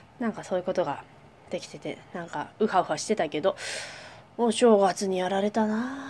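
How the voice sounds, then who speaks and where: A woman speaks at a fairly quick pace. Her loudness swings widely. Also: medium pitch for a woman, ordinary pitch variation. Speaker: podcast co-host, dancer and company president. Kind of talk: casual chat. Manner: fast.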